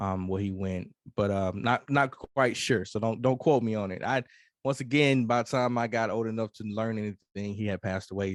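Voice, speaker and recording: A man with a Mississippi accent, fairly low in pitch, at a moderate pace over a quiet background. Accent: Southern US (Mississippi). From US South, Mississippi. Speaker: hip-hop artist and Air Force veteran. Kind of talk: interview conversation. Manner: halting, many fillers.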